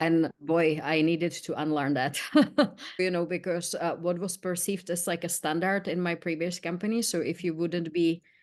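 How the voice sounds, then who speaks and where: Against a quiet background, a woman with a Czech accent speaks at a moderate pace in a fairly low pitch with monotone, flat intonation. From Czech Republic. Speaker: learning experience manager. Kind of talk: podcast interview.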